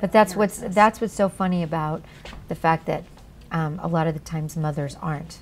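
A woman's fairly low voice with ordinary pitch variation, a moderate pace and light background noise. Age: 50s. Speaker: voice actor and singer. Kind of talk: interview answer. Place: shop. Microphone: lapel.

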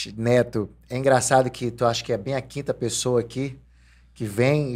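A man talks at a moderate pace. His intonation stays flat and monotone. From Brazil. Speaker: podcast host. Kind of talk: casual interview. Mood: relaxed, reminiscing. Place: studio. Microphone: studio mic.

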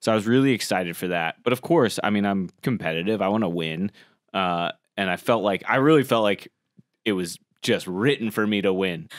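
In a quiet background with dry sound and no echo, a man with an American accent speaks fairly quickly in an animated tone, his fairly low pitch showing ordinary variation. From Colorado and Florida, US. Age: 30s. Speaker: podcast host, former cooking show contestant; podcast host. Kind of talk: casual chat. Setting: studio. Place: studio. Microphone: studio mic.

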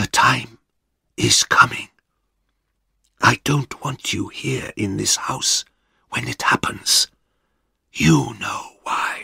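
A man puts on a raspy character voice, talking at a very slow pace with long, frequent pauses. The sound is dry and close, with no echo. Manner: whispering, urgent.

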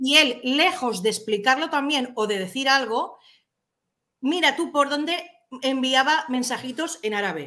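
A woman's bright, sharp, raised and projected voice, high-pitched with lively intonation, at a fairly slow pace against a quiet background. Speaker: chat moderator. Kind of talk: casual chat. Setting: video call. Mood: indignant, complaining. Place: home room. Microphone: webcam.

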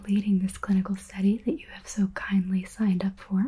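A soft-spoken, somewhat breathy woman at a moderate pace. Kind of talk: soft-spoken role-play talk to the viewer. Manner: soft, close ASMR murmur. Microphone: studio mic.

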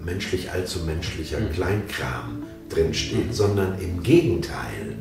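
A man's very deep, low voice at a very slow pace, with audible room echo and clear background music. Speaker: audiobook narrator. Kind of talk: interview answer. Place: home room.

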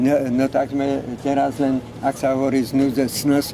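Fairly slow, fairly high-pitched speech from a man, with noticeable background noise. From Slovakia, Žilina region; Slovakia. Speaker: war-era eyewitness. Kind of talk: street interview. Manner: halting. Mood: mildly complaining. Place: street. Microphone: phone near.

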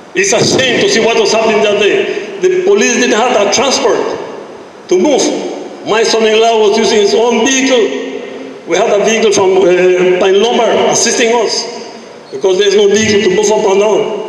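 Strong room echo surrounds a man's high-pitched voice with ordinary pitch variation. He keeps a moderate pace and very even loudness. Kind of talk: public meeting complaint. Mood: frustrated, pleading. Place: hall.

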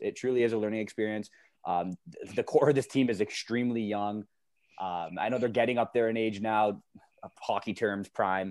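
A man talks at a medium pitch, keeping his intonation fairly even. The recording is very clean, with a silent background. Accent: Canadian. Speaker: podcast co-host. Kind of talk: casual chat.

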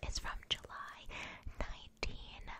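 A woman whispering. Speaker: ASMR creator. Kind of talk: ASMR magazine flip-through, casual talk to camera. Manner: whispered.

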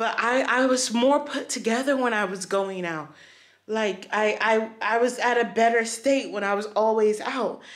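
A woman's voice shows ordinary pitch variation, heard over a quiet background. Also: moderate pace. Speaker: vlogger. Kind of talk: casual vlog chat. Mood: frustrated, reflective. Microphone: phone near.

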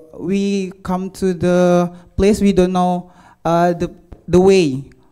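A man's high-pitched voice with a dark, mellow tone and an Indonesian accent, at a very slow pace. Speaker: university student. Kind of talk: conference talk. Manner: halting.

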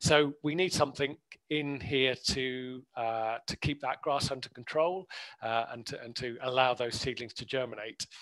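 A man with a southern English accent at a moderate pace, with fairly even intonation and a quiet background. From southern England, Hampshire; southern England. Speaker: botanist. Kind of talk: webinar talk. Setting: video call. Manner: hesitant, many fillers. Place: home room. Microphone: headset.

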